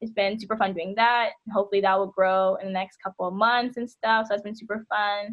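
A woman with an ordinary speaking voice talks at a fairly quick pace and medium pitch, with fairly even intonation and hardly any pauses. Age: 20s. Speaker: activist and organizer. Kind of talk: radio interview.

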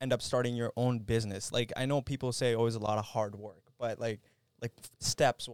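A man with a Canadian accent talks at a fairly quick pace in a medium pitch, a plain, everyday voice, with dry, close sound and no echo. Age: 20s. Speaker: podcast host. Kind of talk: casual chat. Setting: studio.

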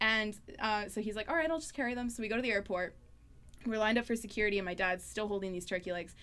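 Speaking at a very fast pace, a woman with a Canadian accent shows ordinary pitch variation. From northern Manitoba, Canada. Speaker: student union executive. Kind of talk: casual chat. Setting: studio.

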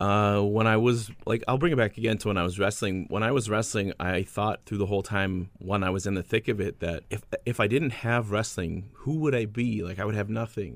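Fairly quick with hardly any pauses, a man speaks in a plain, everyday voice at a fairly low pitch with ordinary pitch variation. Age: 30s. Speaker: radio host and former pro wrestler. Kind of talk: interview.

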